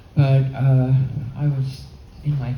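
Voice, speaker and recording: A woman's voice with audible room echo. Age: 80s+. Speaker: holography expert and painter giving a talk. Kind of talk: lecture. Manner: halting.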